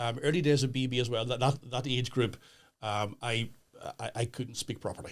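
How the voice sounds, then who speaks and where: This man has a Northern Irish accent and a medium pitch. He talks at a moderate pace with fairly even intonation. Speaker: pastor. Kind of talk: podcast interview. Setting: studio. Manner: halting.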